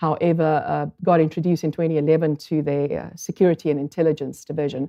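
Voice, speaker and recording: A very deep, low-pitched woman's voice in a South African accent, delivered at a very fast pace with fairly even intonation. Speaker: statistical consultant. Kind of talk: conference talk. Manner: halting, many fillers.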